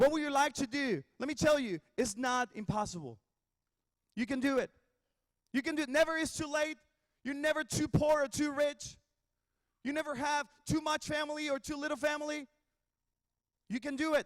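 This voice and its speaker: In a Spanish accent, a man speaks at an extremely high pitch and a moderate pace. The sound is dry and close with no echo, broken by long, frequent pauses. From Mexico. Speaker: worship pastor. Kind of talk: commencement speech. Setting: graduation ceremony.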